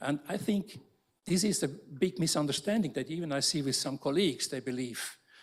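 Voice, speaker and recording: This man talks at a moderate pace with a fairly high pitch, lively intonation and a somewhat breathy quality. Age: 60s. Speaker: architecture professor. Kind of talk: panel discussion. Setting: lecture theatre with audience.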